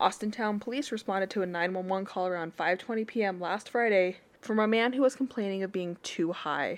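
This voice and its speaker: A woman with an American accent speaks at a medium pitch in a plain, everyday voice against a quiet background. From Utah. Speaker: podcast co-host. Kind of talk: casual chat.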